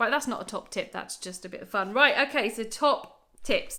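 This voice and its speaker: In an English accent, a woman speaks at a fairly quick pace with ordinary pitch variation. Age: 30s. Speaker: YouTuber sharing bargain-hunting tips. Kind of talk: casual vlog tutorial. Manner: animated.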